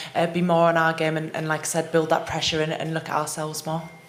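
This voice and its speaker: In an English accent, a woman speaks at fairly low pitch amid noticeable background noise and audible room echo. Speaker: rugby team captain. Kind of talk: press conference.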